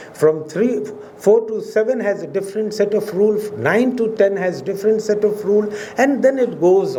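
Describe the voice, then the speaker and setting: A high-pitched man with a Pakistani accent at a moderate pace, ordinary pitch variation, audible room echo and noticeable background noise. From India. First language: Urdu. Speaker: professor. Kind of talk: lecture. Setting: auditorium with audience. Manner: formal.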